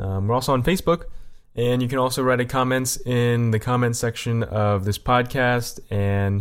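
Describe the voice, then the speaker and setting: In a very clean recording with a silent background, a man speaks at a moderate pace. He has a normal speaking voice with fairly even intonation. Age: 20s. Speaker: podcast co-host. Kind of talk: casual chat.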